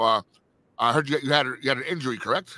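Very fast and with ordinary pitch variation, a man speaks in a dry sound with no echo. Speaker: co-host. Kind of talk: interview. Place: home room.

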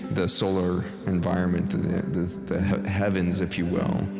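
Over music in the background, a man talks at a moderate pace with a very deep, low pitch. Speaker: meditation guide. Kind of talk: guided meditation. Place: studio.

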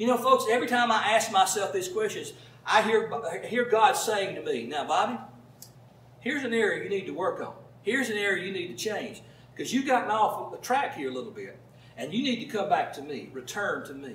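Talking at a fairly quick pace with a Southern US accent, a man with a high voice is heard with audible room echo. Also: lively intonation, big swings in loudness. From US South. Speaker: pastor. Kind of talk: sermon. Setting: church with congregation. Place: home room.

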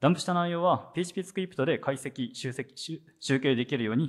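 The man's voice sits fairly high and moves in very wide pitch swings. The background is quiet. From Japan, Sendai (Miyagi); Miyagi, Japan. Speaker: software engineer, conference speaker; conference presenter. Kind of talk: conference talk; technical conference talk. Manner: hesitant, many fillers. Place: hall. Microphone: handheld.

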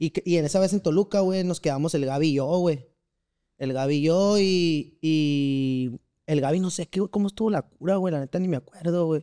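A man speaks at a moderate pace with a dark, mellow tone. His pitch varies normally, and the background is quiet. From central Mexico, Valle de Bravo, State of Mexico; State of Mexico. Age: 20s. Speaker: amateur footballer; podcast guest. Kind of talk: casual interview chat. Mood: relaxed storytelling. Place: studio. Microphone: studio mic.

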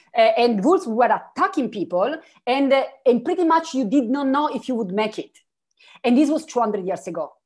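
In an Italian accent, a woman speaks at a moderate pace. Her pitch is high and swings very widely. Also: quiet background. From Italy, Turin; Italy. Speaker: philosopher; keynote speaker. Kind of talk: keynote dialogue. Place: home room. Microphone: video call.

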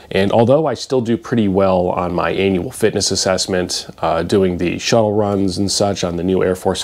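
Fairly low in pitch, a man talks at a moderate pace. His intonation stays fairly even. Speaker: fitness vlogger. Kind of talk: casual vlog chat. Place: home room. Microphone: lapel.

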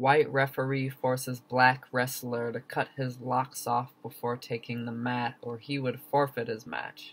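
A man with an American accent speaks in an intense tone and a monotone, flat intonation, at a fairly slow pace with hardly any pauses. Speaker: poet. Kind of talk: spoken word poetry performance, reading own poem. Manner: rhythmic, emphatic, intense. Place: home room. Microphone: webcam.

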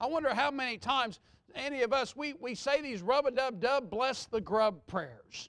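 A man with an extremely high pitch and a Southern US accent, ordinary pitch variation and a moderate pace against a quiet background. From Texas. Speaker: pastor. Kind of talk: Sunday morning sermon, conversational with the congregation, pressing a hard point. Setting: church. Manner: earnest and reassuring, repeating himself to drive the point home; folksy and off-the-cuff, with asides. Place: church.

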